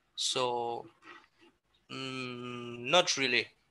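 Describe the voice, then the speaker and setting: A man's bright, sharp voice is captured on a very clean recording with a silent background. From Senegal. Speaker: skateboarder and skate shop owner. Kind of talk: casual interview. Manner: halting, many fillers and repetitions.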